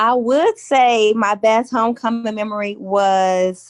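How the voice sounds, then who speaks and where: In an American accent, a woman speaks with a fairly high pitch and fairly even intonation, recorded with a dry, close sound with no echo. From Chicago. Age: 30s. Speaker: podcast guest, university alumna. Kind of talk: casual chat.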